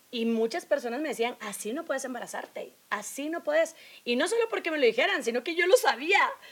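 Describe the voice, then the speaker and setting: A high-pitched woman at a fairly quick pace, with very wide pitch swings and big swings in loudness. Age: 30s. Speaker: podcast co-host. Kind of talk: casual chat.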